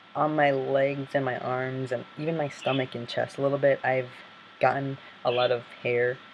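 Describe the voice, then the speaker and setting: Noticeable background noise sits under the voice. The delivery is monotone and flat at a moderate pace. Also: man. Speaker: vlogger. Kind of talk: vlog. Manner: hesitant, many fillers. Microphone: Mac computer built-in mic, not great.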